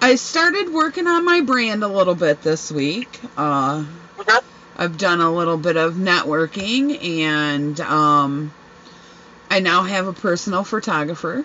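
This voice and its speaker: Over noticeable background noise, a woman speaks at a fairly low pitch. Her pace is fairly slow, and her intonation lively. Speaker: podcast host. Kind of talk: casual chat. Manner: loud; animated, laughing often.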